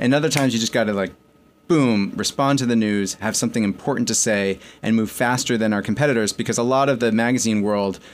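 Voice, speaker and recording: A man speaks with an American accent in an ordinary speaking voice at medium pitch, fairly quick, with fairly even intonation. The recording is very clean with a silent background. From New York and Connecticut. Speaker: magazine editor-in-chief. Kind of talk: interview.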